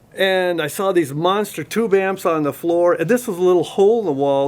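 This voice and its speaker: A man with an American accent and a high pitch speaks at a moderate pace with ordinary pitch variation. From US, Oregon. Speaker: audio company marketing director. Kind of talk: interview. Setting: audio store.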